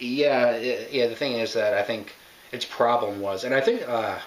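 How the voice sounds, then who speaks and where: The man's fairly quick speech comes through noticeable background noise. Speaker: video game reviewer. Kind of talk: casual commentary. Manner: halting, self-interrupting.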